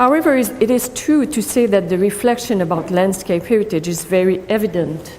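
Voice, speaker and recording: A woman speaks with a Quebec French accent at a medium pitch, moving at a fairly quick pace with hardly any pauses. Her intonation is lively, and there is noticeable background noise. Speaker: professor. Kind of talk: conference talk read from paper. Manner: halting.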